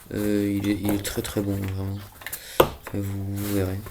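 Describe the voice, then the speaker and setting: Noticeable background noise and audible room echo accompany a man with a fairly low pitch. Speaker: gaming youtuber. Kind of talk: let's play commentary. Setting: at home. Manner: casual, hesitant.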